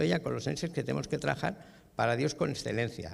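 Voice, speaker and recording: This man talks at a fairly quick pace with vocal fry. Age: 60s. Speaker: business owner and franchisee at a church workshop. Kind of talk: workshop testimony. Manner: casual.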